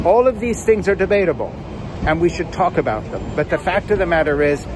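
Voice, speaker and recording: Noticeable background noise sits under a man's voice. He sounds animated, with lively intonation. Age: 70s. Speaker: political commentator. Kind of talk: opinion monologue.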